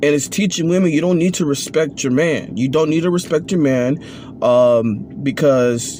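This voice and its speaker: This man's voice sits fairly high in pitch, with ordinary pitch variation and noticeable background noise behind it. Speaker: vlogger. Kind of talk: opinion monologue. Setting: at work on break. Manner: slow.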